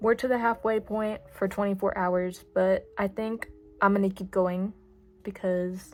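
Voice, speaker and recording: Amid noticeable background noise, a woman with a medium pitch speaks at a moderate pace using fairly even intonation. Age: young. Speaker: new vlogger. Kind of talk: casual vlog. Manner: casual, filler words.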